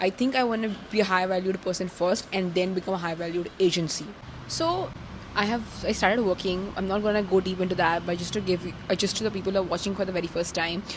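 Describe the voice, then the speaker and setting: Speaking at a very fast pace, a woman with a medium-pitched voice keeps a fairly even intonation over noticeable background noise. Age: 20s. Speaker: content creator and social media strategist. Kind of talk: casual vlog monologue.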